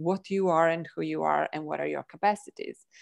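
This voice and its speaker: A woman with a non-native accent speaks at a moderate pace. The background is quiet. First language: not English. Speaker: energy healing practitioner. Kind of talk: casual chat. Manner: animated.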